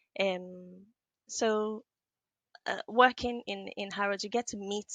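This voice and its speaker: A Nigerian accent in a dry, close sound with no echo, against a quiet background. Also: woman. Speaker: business analyst and trainer. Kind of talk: podcast interview. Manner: hesitant, many fillers.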